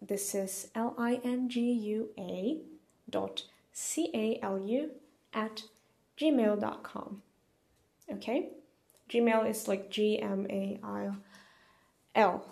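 Fairly high in pitch, a woman's voice carries a dark, mellow tone. She talks at a very slow pace with long, frequent pauses. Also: ordinary pitch variation. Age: 20s. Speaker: poetry podcaster and online language teacher. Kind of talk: casual monologue. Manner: casual, hesitant with frequent fillers.

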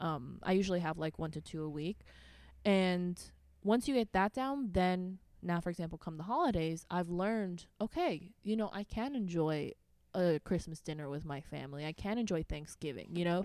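Recorded very cleanly against a silent background, a plain, everyday voice moves at a moderate pace with lively intonation. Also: woman, fairly low pitch for a woman. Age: 20s. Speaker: fitness coach. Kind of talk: casual chat.

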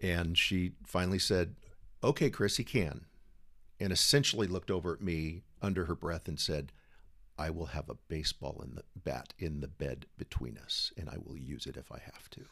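In an American accent, a man talks at a moderate pace with a very deep, low pitch and vocal fry. His intonation is lively, and his loudness swings widely. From San Diego, California. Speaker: podcast guest sharing miscarriage story. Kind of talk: casual interview storytelling. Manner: humorous, joking.

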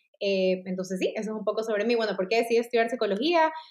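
Here a woman talks at a very fast pace. Her intonation stays fairly even. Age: 30s. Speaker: clinical psychologist. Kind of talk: interview.

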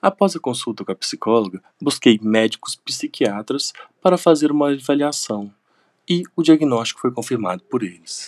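This man has an unremarkable speaking voice, fairly high in pitch, with lively intonation at a moderate pace. The sound is dry and close, with no echo. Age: 30s. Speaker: university lecturer and veterinarian. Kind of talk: testimony.

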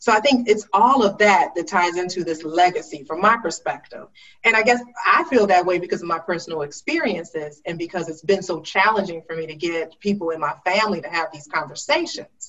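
In an unremarkable speaking voice at a medium pitch, a woman talks at a fairly quick pace with ordinary pitch variation and big swings in loudness. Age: 40s. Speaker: talk show host, writer and storyteller. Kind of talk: interview.

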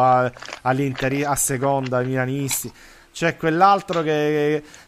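Noticeable background noise sits behind this recording. A man speaks at a fairly high pitch with ordinary pitch variation. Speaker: co-host, website manager. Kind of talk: casual chat, football discussion.

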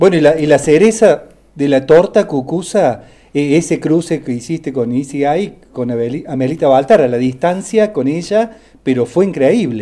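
Fairly slow and fairly high-pitched, a man speaks with lively intonation and a dark, mellow tone. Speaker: music columnist. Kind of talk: radio interview.

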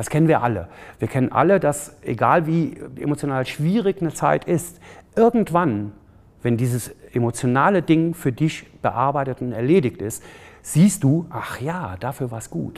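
In a very clean recording with a silent background, a man talks at a moderate pace. His pitch is fairly high, with very wide swings. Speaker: photographer and charity founder. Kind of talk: interview. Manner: halting, many fillers.

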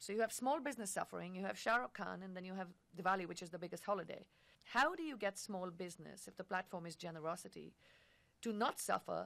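Vocal fry runs through speech delivered at a very fast pace with ordinary pitch variation. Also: woman, medium pitch for a woman. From India. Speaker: advertising agency executive. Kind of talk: casual chat.

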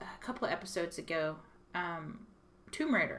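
A woman's voice with ordinary pitch variation, at a fairly slow pace. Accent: Texas. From Texas. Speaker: radio host. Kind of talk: casual chat.

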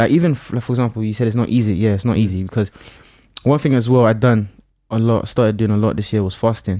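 A dark, mellow tone at a very fast pace, with ordinary pitch variation, on a very clean recording with a silent background. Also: man, medium pitch for a man. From Nigeria. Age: young. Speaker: musician. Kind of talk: casual chat.

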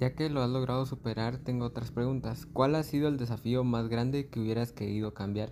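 The man's voice is medium in pitch with a dark, mellow tone. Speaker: student interviewer. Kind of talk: interview. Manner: halting.

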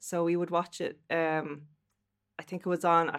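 A woman is speaking. She has a Dublin accent. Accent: Irish, Dublin. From Dublin, Ireland. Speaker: guest. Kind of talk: casual chat. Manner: animated, laughs often.

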